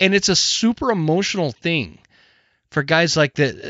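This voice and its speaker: This man has an ordinary speaking voice and an American accent. His pitch sits fairly high with ordinary variation, at a moderate pace. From US Northwest. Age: 40s. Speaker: podcast host. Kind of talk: casual interview chat. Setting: studio. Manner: casual, profane.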